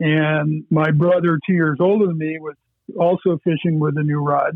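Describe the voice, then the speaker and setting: A man with an American accent at a fairly high pitch, monotone and flat, at a moderate pace. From Erie County, western New York / Great Lakes. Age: 60s. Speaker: fly fishing angler. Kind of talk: interview.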